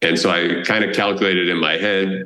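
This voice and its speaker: With a Boston accent, a man talks in a very deep, low voice with a bright, sharp tone. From Boston area, US. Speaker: travel blogger and tour founder. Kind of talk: podcast interview.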